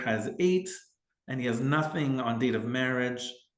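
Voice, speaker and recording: The man's voice sits at a medium pitch, and the room echo is audible. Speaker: family lawyer. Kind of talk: legal explainer tutorial. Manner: hesitant fillers and repetitions.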